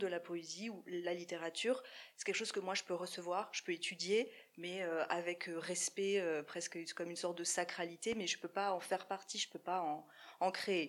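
A woman's medium-pitched, unremarkable speaking voice. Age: 30s. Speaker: poet. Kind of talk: casual chat. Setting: stage with audience.

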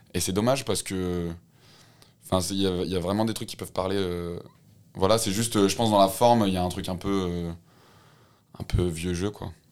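With a very deep, low pitch and fairly even intonation, a man speaks at a moderate pace broken by long, frequent pauses. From France, Haute-Loire and Lyon. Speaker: rapper and slam poet. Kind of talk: casual interview. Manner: halting.

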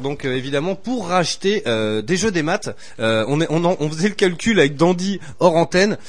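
Here a male voice sits high in pitch. The intonation rises and falls in a lively way. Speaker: radio show host. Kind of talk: live radio chat. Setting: radio studio. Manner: jovial, often laughing.

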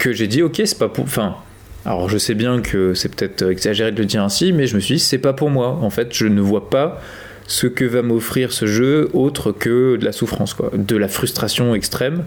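A man's ordinary speaking voice at medium pitch, with a moderate pace, very even loudness and ordinary pitch variation. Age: 20s. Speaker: podcast co-host, teacher. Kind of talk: casual chat.

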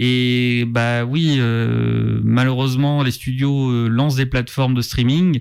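A man speaks at a medium pitch and a very slow pace, his loudness very even and his intonation flat and monotone, with hardly any pauses. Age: 30s. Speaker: film journalist. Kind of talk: casual chat. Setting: studio.

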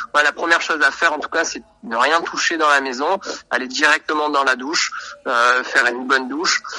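A man talks at a moderate pace in a fairly high voice with ordinary pitch variation. Noticeable background noise is present. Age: 30s. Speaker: radiographer. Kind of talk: interview. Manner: halting, many hesitations.

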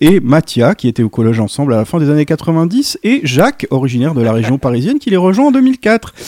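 At a fairly quick pace, a man with a dark, mellow tone is heard in a dry, close sound with no echo. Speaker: radio co-host. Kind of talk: casual radio chat.

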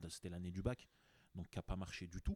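A man's very deep, low voice with a dark, mellow tone, recorded dry and close with no echo. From France, Grenoble. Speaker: entrepreneur. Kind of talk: casual interview. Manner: halting with many repeated words.

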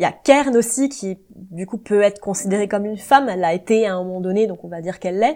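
A woman with a dark, mellow, medium-pitched voice talks at a very fast pace with hardly any pauses, ordinary pitch variation and big swings in loudness. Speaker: YouTuber. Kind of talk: casual chat. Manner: relaxed.

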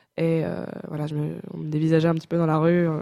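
A woman's dark, mellow voice, fairly low in pitch, at a very fast pace. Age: 20s. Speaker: university student. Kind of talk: interview. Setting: studio. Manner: halting.

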